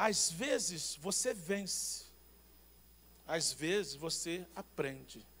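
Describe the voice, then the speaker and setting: A man speaks with lively intonation at a high pitch. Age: 50s. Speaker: pastor. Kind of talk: sermon.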